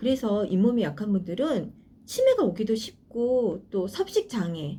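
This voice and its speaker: Somewhat breathy, a woman's voice swings very widely in pitch. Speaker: YouTuber sharing personal dental experience. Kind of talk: personal review vlog. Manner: some hesitations and filler sounds.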